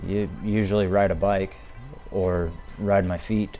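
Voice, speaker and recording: Spoken very slowly in a flat monotone, this voice carries audible room echo with music playing in the background. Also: man. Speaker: gaming video creator. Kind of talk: casual gameplay commentary.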